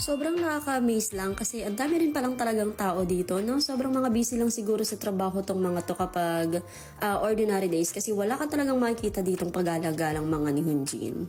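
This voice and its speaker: Over noticeable background noise, a woman at medium pitch talks at a very fast pace with hardly any pauses, very even loudness and very wide pitch swings. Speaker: vlogger. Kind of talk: travel vlog voice-over. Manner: casual, chatty.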